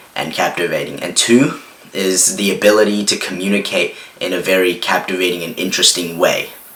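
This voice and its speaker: There is noticeable background noise behind a man with fairly low pitch. He speaks at a moderate pace with fairly even intonation. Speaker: self-improvement youtuber. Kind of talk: casual vlog talk. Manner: halting, many fillers like 'like' and 'um'.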